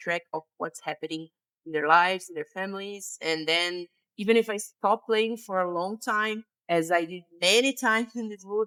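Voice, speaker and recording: A woman's bright, sharp tone comes through in a dry, close sound with no echo, with ordinary pitch variation. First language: Portuguese. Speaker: gaming YouTuber. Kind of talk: game tutorial/walkthrough. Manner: casual, hesitant with fillers.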